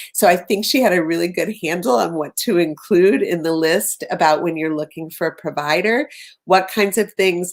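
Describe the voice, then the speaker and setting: A normal speaking voice from a woman, pitched fairly low, moderate in pace, with ordinary pitch variation. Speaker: behavior analysis professor. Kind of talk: presentation.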